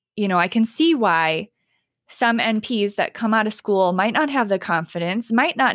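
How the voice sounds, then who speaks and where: A woman with a plain, everyday voice speaks at a fairly high pitch and a moderate pace, with lively intonation. The sound is dry and close, with no echo. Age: 30s. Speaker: nurse practitioner. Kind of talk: casual chat. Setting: video call.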